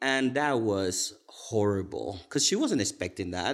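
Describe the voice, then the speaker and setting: The speaker has a Cuban accent and keeps a moderate pace. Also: man. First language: Spanish. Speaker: pastry chef and bakery owner. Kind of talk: casual podcast interview. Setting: conference room.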